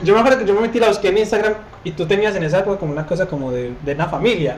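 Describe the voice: A man with a high pitch speaks at a very fast pace, and room echo is audible. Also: ordinary pitch variation.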